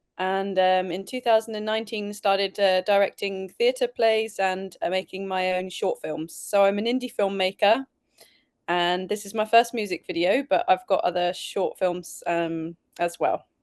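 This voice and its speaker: At a moderate pace and with fairly even intonation, someone speaks in a British accent over a quiet background. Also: woman, medium pitch for a woman. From England. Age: 40s. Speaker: film director and actor. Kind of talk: interview. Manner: halting, many fillers.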